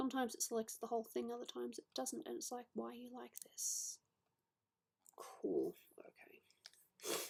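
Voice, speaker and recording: A woman mumbles in a put-on character voice with a high pitch. She keeps a moderate pace. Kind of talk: casual, muttering to self while working. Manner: mumbling.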